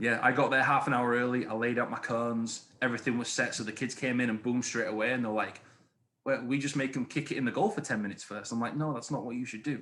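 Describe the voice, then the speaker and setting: A man's medium-pitched voice with an English accent, bright and sharp in tone, fairly even in intonation, at a very fast pace. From England. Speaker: high school history teacher and youth soccer coach. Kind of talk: podcast interview. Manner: hesitant, many fillers.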